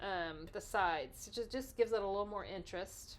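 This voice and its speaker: Here a woman speaks in a Texas accent. Her pitch varies in an ordinary way. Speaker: card-making crafter. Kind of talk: craft tutorial. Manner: casual, chatty.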